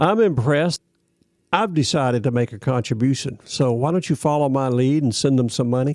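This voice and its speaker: With a Southern US accent, a man speaks at a moderate pace in a fairly high pitch and a dark, mellow tone, his intonation lively and the sound dry and close with no echo. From US South, Florida (Ocala). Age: 70s. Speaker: podcast host, Vietnam veteran. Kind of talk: news reading and commentary.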